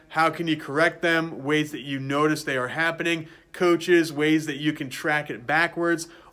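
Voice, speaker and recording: Moving at a moderate pace, a man's bright, sharp tone stays monotone and flat in intonation. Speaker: throwing coach. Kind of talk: casual vlog chat. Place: gym.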